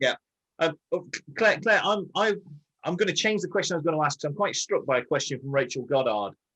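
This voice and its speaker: A man with an English accent talks very fast in a high, bright, sharp voice with lively intonation and long, frequent pauses, the sound dry and close with no echo. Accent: received pronunciation. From northern England, Scarborough. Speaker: barrister and show co-host. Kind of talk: casual chat. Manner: clipped.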